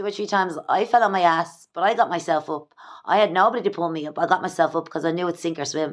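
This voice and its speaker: Doing a put-on character voice, a woman talks very fast, raspy and fairly low, with ordinary pitch variation. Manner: talking very fast.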